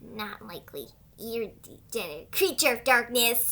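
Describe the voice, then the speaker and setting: A female-sounding voice takes on a put-on character voice at a fairly high pitch. The pace is fairly slow. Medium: dub. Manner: dramatic, intense.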